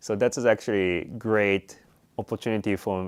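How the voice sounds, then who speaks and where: A man speaks with a Japanese accent at a fairly low pitch, his intonation fairly even. The recording is very clean, with a silent background. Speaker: Buddhist priest. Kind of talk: interview. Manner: halting, many fillers.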